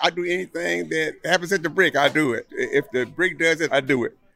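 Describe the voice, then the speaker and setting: With an American accent and some vocal fry, a man speaks at a moderate pace, his fairly high pitch showing ordinary variation. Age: 60s. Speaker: bar worker. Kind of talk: casual interview. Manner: animated.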